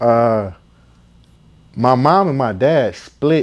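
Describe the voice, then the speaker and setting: Lively intonation colors a man's medium-pitched voice with an American accent. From Flint, Michigan. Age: 30s. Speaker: rapper. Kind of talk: interview. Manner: casual.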